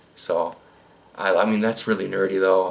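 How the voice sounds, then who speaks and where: Fairly quick speech amid noticeable background noise. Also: man. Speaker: YouTuber answering viewer questions. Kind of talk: casual Q&A monologue. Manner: halting, many fillers; casual, rambling delivery.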